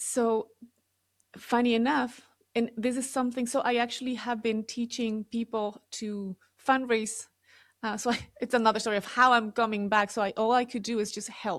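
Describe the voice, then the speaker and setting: A woman with an Ecuadorian accent, fairly high in pitch, monotone, flat intonation, a moderate pace, on a very clean recording with a silent background. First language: Spanish. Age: 40s. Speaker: real estate developer. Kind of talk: interview testimony.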